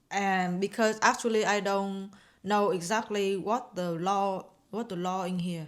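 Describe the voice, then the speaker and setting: A woman speaks with a Vietnamese accent at a medium pitch, her intonation fairly even. The recording is very clean, with a silent background. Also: fairly slow pace. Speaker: host's wife. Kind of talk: casual chat. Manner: halting.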